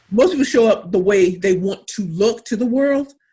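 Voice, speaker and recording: The tone is animated and somewhat breathy. Pitch varies in an ordinary way. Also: woman. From US Midwest, inner-city St. Louis, Missouri. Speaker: pitch coach and entrepreneur. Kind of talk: webinar talk.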